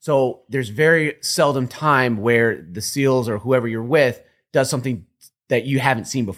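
The recording is very clean, with a silent background. A man speaks at a moderate pace with a medium pitch and ordinary pitch variation. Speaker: special operations veteran. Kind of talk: casual chat. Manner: halting.

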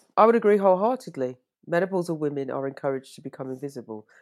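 A woman's very deep, low voice with a British accent, at a very fast pace, with an animated tone and very wide pitch swings. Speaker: fashion designer and podcast host. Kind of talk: interview conversation. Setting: remote call.

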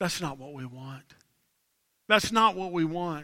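A raised, projected voice with an animated, bright, sharp tone on a very clean recording with a silent background. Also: man. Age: 40s. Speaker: pastor. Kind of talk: live Sunday sermon; live Sunday sermon closing in an altar call, leading a salvation prayer. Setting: church service with live congregation. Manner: animated, conversational call-and-response with the congregation.

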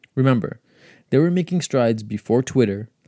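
A man speaks at a fairly quick pace with a dark, mellow tone. His pitch is medium, with ordinary variation. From New York (Queens). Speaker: podcast host and emergency medicine resident. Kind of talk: solo podcast monologue.

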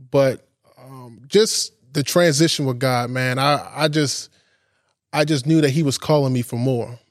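On a very clean recording with a silent background, a man with a plain, everyday voice speaks fairly slowly at a fairly high pitch and with fairly even intonation. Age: 20s. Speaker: podcast host giving a bible study. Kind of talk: sermon-style bible study. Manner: casual, conversational.

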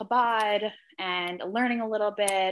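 Against a quiet background, a woman with a New Jersey accent talks at a medium pitch. Her tone is bright and sharp, her intonation fairly even. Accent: New Jersey American. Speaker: magazine editor and writer. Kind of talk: casual interview chat.

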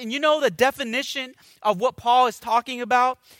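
A man's extremely high-pitched, raised and projected voice with ordinary pitch variation, a warm yet bright, sharp tone, and a dry, close sound with no echo on a very clean recording with a silent background. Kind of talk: sermon. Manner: animated, exhortative preaching with call-and-response prompts; warm, earnest, conversational pastor delivery.

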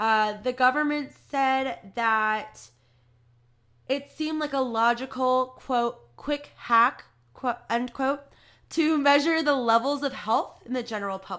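Speaking at a very slow pace, a woman has a high pitch, ordinary pitch variation and a bright, sharp tone. The recording is very clean, with a silent background. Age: 20s. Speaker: podcast host. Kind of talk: reading aloud; casual monologue. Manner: casual, filler-heavy.

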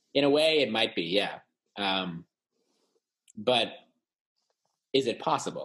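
Speaking with an American accent, a man uses a medium pitch and lively intonation. His pace is fairly slow, with long, frequent pauses. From California. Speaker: podcast co-host. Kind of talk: casual chat.

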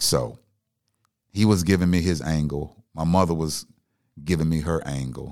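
Long, frequent pauses break up the speech. The pace is moderate, with ordinary pitch variation. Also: man, very deep, low pitch for a man. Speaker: comedian turned radio personality. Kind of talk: casual chat. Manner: calm, laid back.

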